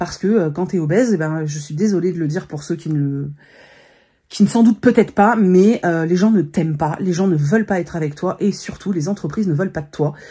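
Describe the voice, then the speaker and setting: A woman's somewhat breathy, dark, mellow voice at a fairly low pitch, with fairly quick pace, ordinary pitch variation and a quiet background. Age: 40s. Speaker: vlogger and influencer. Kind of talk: casual vlog monologue. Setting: home office. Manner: hesitant, many fillers.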